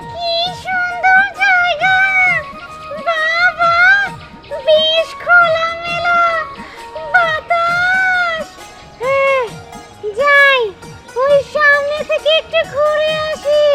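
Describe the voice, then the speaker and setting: Clear music plays behind a put-on character voice that is squeaky and extremely high, with very wide pitch swings and a very slow pace. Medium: short film. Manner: muttering to herself.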